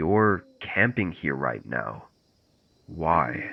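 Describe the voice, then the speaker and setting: A man performs a put-on character voice with a very deep, low pitch. His pitch swings very widely. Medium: read story. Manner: slow, unsettling.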